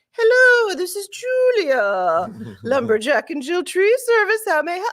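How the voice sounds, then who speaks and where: Put on as a character voice, this extremely high-pitched delivery in a British accent moves at a moderate pace. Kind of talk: polite, professional.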